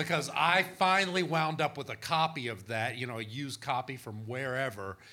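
This man has a medium pitch and a bright, sharp tone, with a Texan accent. He speaks at a moderate pace on a very clean recording with a silent background. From small-town Texas. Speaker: author and historian of spirit communication. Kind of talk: live panel discussion. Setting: stage with audience.

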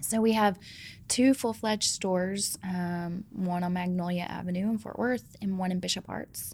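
A woman with an American accent speaks in a plain, everyday voice at medium pitch, with ordinary pitch variation and a moderate pace, on a very clean recording with a silent background. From Georgia, US South. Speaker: ice cream company founder and CEO. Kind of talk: interview conversation.

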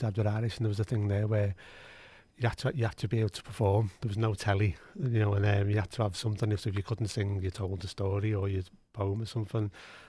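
A man with a Liverpool accent, very fast and somewhat breathy, fairly low in pitch with a dark, mellow tone and ordinary pitch variation, on a very clean recording with a silent background. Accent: Scouse. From Liverpool, England. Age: 60s. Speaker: music strategy official. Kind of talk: casual interview. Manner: halting, repetitive.

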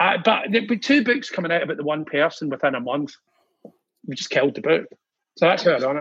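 Talking at a very fast pace yet with long, frequent pauses, a man with a Glaswegian accent uses a high pitch and lively intonation. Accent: Glaswegian Scottish. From Scotland, Glasgow. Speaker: music industry figure. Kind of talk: casual chat. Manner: animated.

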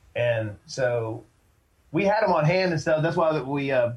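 His voice comes across somewhat breathy. The man speaks with an American accent. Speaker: band singer. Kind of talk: casual interview chat.

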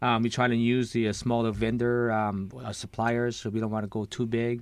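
A man with a Lao accent talks in a monotone, flat intonation. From Laos. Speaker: restaurant owner. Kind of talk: radio interview. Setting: studio.

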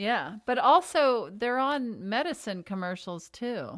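A woman talks slowly at a fairly high pitch, her tone fairly bright. Her pitch swings a lot.

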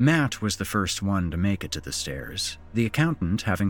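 A man with a very deep, low pitch and lively intonation at a moderate pace, with music in the background. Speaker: horror podcast host and story narrator. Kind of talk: spooky horror story narration read aloud. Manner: theatrical, voicing characters' dialogue; suspenseful, measured storytelling pace.

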